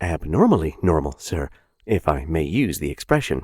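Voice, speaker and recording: A man's put-on character voice, very deep and husky, at a moderate pace, with a dry, close sound and no echo. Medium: read story. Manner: polite, gentle, dogmatic.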